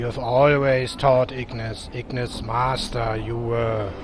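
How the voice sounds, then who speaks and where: Over clear background noise, a man uses a put-on character voice at a medium pitch. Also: fairly slow pace. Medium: actual play. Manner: talks of himself in third person, fragmented.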